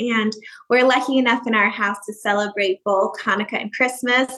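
A woman with a plain, everyday voice speaks at a fairly high pitch, using ordinary pitch variation. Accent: American. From upstate New York. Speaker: model, actress and entrepreneur. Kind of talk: casual interview chat.

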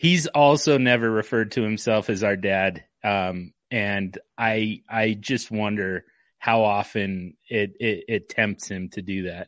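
A plain, everyday voice from a man, fairly low in pitch, with ordinary pitch variation, a fairly slow pace and a quiet background. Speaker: fantasy football podcaster. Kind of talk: casual chat. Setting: video call.

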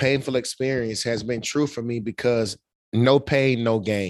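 In an Alabama accent, a man talks at a medium pitch and a moderate pace with ordinary pitch variation against a quiet background. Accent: Southern US (Alabama). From Alabama, US South. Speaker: motivational speaker. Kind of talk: interview. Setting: studio, in person.

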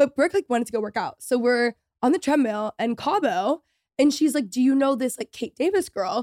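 In an animated tone, a woman with an American accent speaks fairly quickly at a high pitch, in a dry, close sound with no echo on a very clean recording with a silent background. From Texas, Dallas suburbs. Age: 20s. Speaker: podcast host. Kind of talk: ad read; casual chat.

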